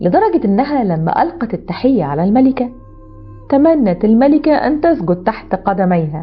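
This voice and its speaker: Fairly slow speech with very wide pitch swings over music in the background. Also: woman. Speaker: storyteller. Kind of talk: storytelling narration.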